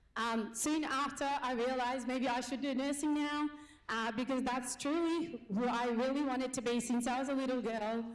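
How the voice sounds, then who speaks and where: A woman's high-pitched voice at a moderate pace, with fairly even intonation, very even loudness and audible room echo. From Nepal. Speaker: business owner and nurse. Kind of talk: conference speech.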